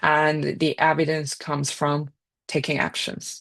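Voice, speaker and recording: With a Chinese accent, a woman talks at a very slow pace in a very deep, low pitch against a quiet background. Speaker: data and AI scientist, speaker. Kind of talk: career talk presentation.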